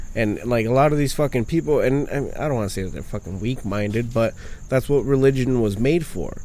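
Here a man speaks at a fairly quick pace. His medium pitch shows ordinary variation. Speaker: guest co-host. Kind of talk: angry profane rant about religion. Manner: loud, fast, animated, sarcastic, cursing heavily.

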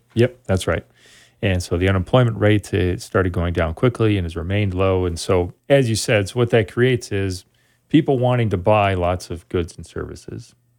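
A man's unremarkable speaking voice, fairly low in pitch, with ordinary pitch variation and a moderate pace, on a very clean recording with a silent background. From Wisconsin (Sun Prairie, near Madison). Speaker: economics professor. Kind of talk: interview.

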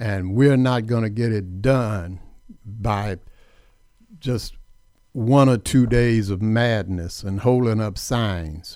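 A man's voice, fairly low in pitch, with ordinary pitch variation. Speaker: radio host. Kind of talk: radio talk show, political commentary. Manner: opinionated, emphatic.

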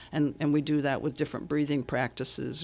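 In a very clean recording with a silent background, a woman with a very deep, low pitch and vocal fry speaks at a fairly quick pace. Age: 80s. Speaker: relationship coach and author. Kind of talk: radio interview. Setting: studio.

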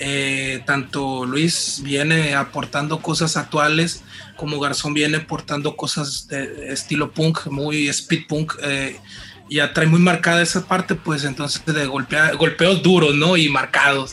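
A man speaks very slowly with a fairly high pitch. His intonation is flat and monotone, over noticeable background noise. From Mazatlán, Sinaloa, Mexico. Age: 30s. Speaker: band singer and guitarist. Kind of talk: casual interview.

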